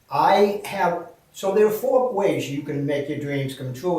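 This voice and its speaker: A man talking at a fairly slow pace, with audible room echo and noticeable background noise. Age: 70s. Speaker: speaker and real estate investor. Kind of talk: video testimony. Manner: animated.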